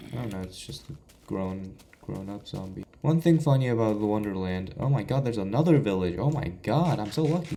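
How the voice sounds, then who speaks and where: A man talks at a fairly quick pace with lively intonation. His voice is fairly low, with a dark, mellow tone. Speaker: gaming YouTuber. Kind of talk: gameplay commentary. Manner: stuttering, halting.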